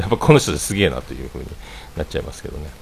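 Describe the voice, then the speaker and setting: Over noticeable background noise, a man with a very deep, low pitch speaks with very wide pitch swings. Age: 40s. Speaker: livestreamer, former restaurant owner. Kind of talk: casual solo livestream chat. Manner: rambling with many fillers.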